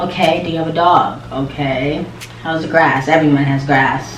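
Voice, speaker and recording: A woman talks in an animated tone at a fairly slow pace. Audible room echo and noticeable background noise fill the recording. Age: 20s. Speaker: lifestyle and hair vlogger. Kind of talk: casual Q&A vlog. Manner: animated, chatty.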